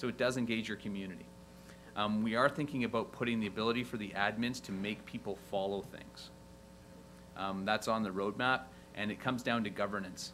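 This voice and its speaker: A man's fairly low voice, bright and sharp in tone, with vocal fry, fairly even intonation and a fairly quick pace. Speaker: software company representative on a panel. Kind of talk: conference panel presentation. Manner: fast.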